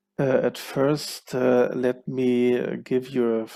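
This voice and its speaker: A man's medium-pitched voice with a German accent, dark and mellow in tone, with fairly even intonation. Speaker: cluster manager, keynote speaker. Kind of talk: conference keynote presentation.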